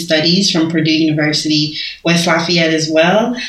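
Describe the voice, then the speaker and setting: A woman speaks at a fairly low pitch. Noticeable background noise and audible room echo fill the recording. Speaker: law and public health graduate. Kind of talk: casual interview. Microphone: muffled by face mask.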